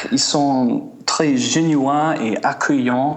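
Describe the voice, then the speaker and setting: In a room with audible echo and noticeable background noise, a man speaks at a very slow pace. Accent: American. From US Midwest (small town Indiana). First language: English (speaking French). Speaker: musician and traveler. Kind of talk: interview. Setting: remote line to radio show. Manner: halting, many hesitations.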